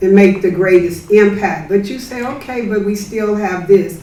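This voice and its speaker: At a moderate pace, a woman of medium pitch speaks with fairly even intonation, audible room echo and noticeable background noise. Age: 70s. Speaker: community activist. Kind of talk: audience comment at book talk.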